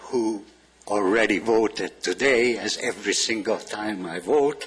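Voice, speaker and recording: Over music in the background, a man with a Hungarian accent speaks at a fairly slow pace with ordinary pitch variation. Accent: old Hungarian. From Transylvania. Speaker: public commenter. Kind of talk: public comment.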